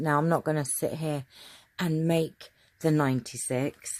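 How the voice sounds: A woman's low voice, slightly mellow in tone, moves at a fairly slow pace with fairly even intonation.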